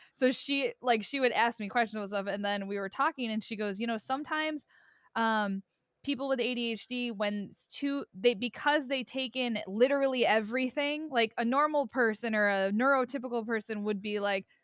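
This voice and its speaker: Speaking at a fairly quick pace, a woman with a fairly high pitch shows big swings in loudness and ordinary pitch variation, in a dry, close recording with no echo and a quiet background. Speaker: podcast co-host. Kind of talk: casual chat. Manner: animated.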